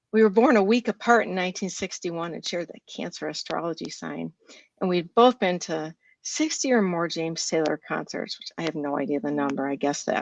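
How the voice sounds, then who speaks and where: A woman's plain, everyday voice at a fairly low pitch and fairly quick pace, with a dry, close sound and no echo. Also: lively intonation, big swings in loudness. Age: 60s. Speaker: writer and journalist. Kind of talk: reading aloud.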